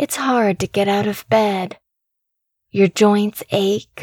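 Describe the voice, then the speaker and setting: Recorded dry and close with no echo, a woman speaks at a very slow pace. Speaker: podcast narrator. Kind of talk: scripted narration of a horror story, read aloud in first person. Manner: hushed, suspenseful, building creepy dread.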